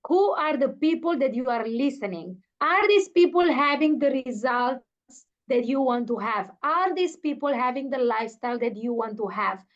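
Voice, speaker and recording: Speaking at a moderate pace in an Italian accent, the voice carries lively intonation. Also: woman. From Italy. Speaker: network marketing leader. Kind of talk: motivational speech. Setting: video call. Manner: halting; enthusiastic.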